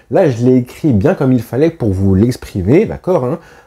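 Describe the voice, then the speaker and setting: A man speaks in a dark, mellow tone that is somewhat breathy. His pitch swings very wide. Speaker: football YouTuber. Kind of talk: football opinion vlog.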